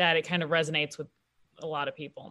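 A woman with a bright, sharp tone and a fairly low pitch, with an American accent. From US Midwest. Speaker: comedian. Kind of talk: casual chat. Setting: video call.

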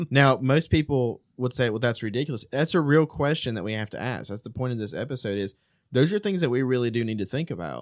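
A man's very fast speech with lively intonation. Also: medium pitch for a man, very clean recording, silent background. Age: 30s. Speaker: theology podcast panelist. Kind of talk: casual chat.

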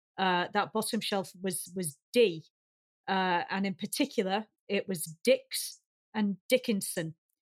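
A woman speaks in a Lancashire accent at a fairly slow pace. The sound is dry and close, with no echo. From Lancashire, northern England. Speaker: science fiction writer. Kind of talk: casual chat.

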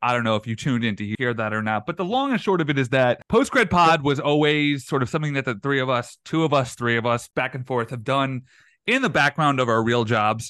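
Over a quiet background, a man with a bright, sharp tone and medium pitch talks at a fairly quick pace with hardly any pauses and ordinary pitch variation. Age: 30s. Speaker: podcast host and entertainment writer. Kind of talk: casual chat; interview. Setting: video call.

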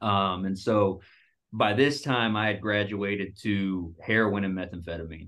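This man has a normal speaking voice, fairly low in pitch, delivered at a fairly slow pace with fairly even intonation. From Dallas, Texas. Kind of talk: casual interview, testimony.

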